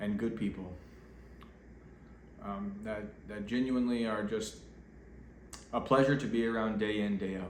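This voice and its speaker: Over noticeable background noise and audible room echo, a man talks at a moderate pace in a medium pitch with fairly even intonation. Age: 30s. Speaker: vlogger. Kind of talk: casual vlog monologue. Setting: at home getting ready for bed. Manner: off the cuff, hesitant with fillers.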